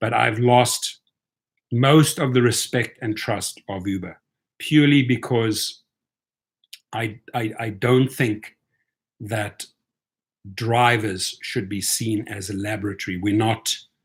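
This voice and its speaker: Very slow, somewhat breathy speech in a South African accent, broken by long, frequent pauses. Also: man, medium pitch for a man. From South Africa (and Europe), moving around. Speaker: rideshare driver and YouTuber. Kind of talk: live stream commentary. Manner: animated.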